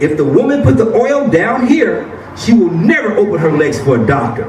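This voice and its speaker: With an animated tone and very wide pitch swings, a man with a high pitch speaks at a moderate pace amid audible room echo and noticeable background noise. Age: 60s. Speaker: health seminar speaker. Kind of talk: seminar talk. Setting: room with audience.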